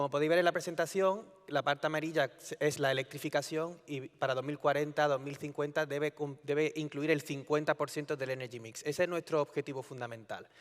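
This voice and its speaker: With a slight Andalusian accent, a man talks fairly quickly at a fairly high pitch. His intonation is fairly even, and the sound is dry and close with no echo. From Andalusia, Spain (Córdoba). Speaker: EU energy policy official. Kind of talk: conference talk. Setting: conference stage with audience. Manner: conversational, informal.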